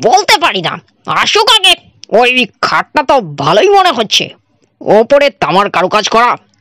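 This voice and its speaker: A woman's high, put-on character voice, fairly slow, with very wide pitch swings and very even loudness, in a dry, close sound with no echo. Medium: read story. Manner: jovial, charming.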